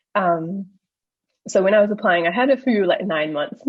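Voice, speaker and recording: Speaking with a New Zealand accent, a woman uses a medium pitch and a somewhat breathy voice. Her intonation is lively. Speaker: junior doctor, paediatric trainee. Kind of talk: casual interview chat.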